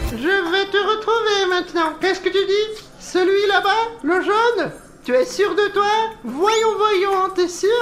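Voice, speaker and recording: Fairly slow delivery in a put-on character voice, clear noise in the background. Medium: fan dub. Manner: playful, chatty, laughing often.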